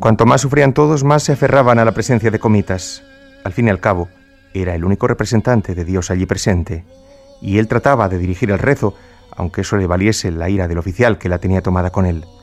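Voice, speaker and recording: Over music in the background, a man with a Spanish accent talks very fast in a fairly low pitch with ordinary pitch variation. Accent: Peninsular Spanish. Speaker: radio host narrator. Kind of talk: dramatic narration of historical events, radio storytelling. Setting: radio studio broadcast. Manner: solemn, grave, measured pace; emotionally charged, somber, building tension.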